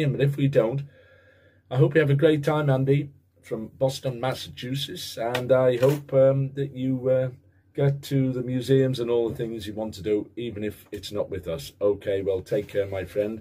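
At a moderate pace, a man speaks in a dark, mellow, somewhat breathy tone with ordinary pitch variation. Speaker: football vlogger. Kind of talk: casual vlog monologue. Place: home room. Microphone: webcam.

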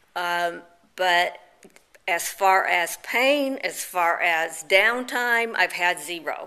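The speaker is a woman. She has a lively intonation. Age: 50s. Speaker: cosmetic surgery patient. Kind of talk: video testimonial. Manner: halting, many fillers. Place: home room. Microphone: phone near.

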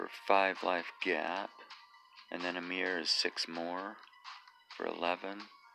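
A man speaks at a very deep, low pitch with a monotone, flat delivery. Music plays in the background. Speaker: gaming video commentator. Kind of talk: gameplay commentary.

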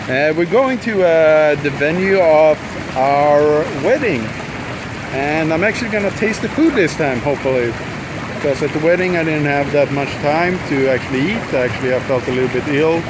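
Speech at a moderate pace with ordinary pitch variation comes through in a dry sound with no echo and noticeable background noise. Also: man. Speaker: vlogger. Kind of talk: casual vlog chat. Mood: relaxed, lazy. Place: waterside. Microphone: phone near.

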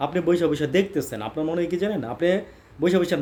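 Dark, mellow male speech with ordinary variation in pitch. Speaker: political commentator. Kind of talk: political monologue commentary. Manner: animated.

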